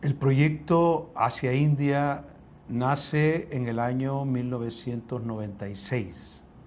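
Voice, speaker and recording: At a very slow pace, a man with a medium pitch and ordinary pitch variation speaks amid audible room echo. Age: 60s. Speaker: returned missionary, teacher. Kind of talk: testimony interview. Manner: halting, many fillers.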